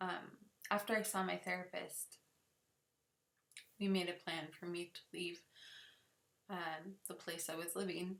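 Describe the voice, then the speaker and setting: The woman speaks slowly-ish in a fairly low pitch, with monotone, flat intonation. Long pauses come often. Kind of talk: personal story told to camera.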